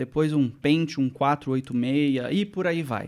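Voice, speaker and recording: A man speaks at a moderate pace in a Rio de Janeiro accent, his pitch fairly high with ordinary variation. His tone is dark and mellow, and the recording is very clean with a silent background. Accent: carioca. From Brazil, Rio de Janeiro suburbs. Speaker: tech journalist. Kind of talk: casual interview chat.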